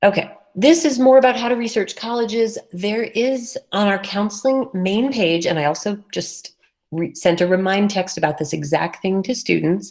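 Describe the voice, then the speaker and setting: A woman speaks in a normal speaking voice at medium pitch, with lively intonation, a moderate pace and hardly any pauses. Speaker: high school college and career counselor. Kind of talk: presentation to parents and students.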